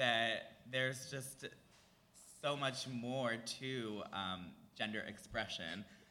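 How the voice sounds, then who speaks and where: With an American accent, a man of medium pitch speaks in fairly even intonation amid noticeable background noise and audible room echo. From Philadelphia area, US. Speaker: drag performer and musician. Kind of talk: live podcast interview. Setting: stage with audience.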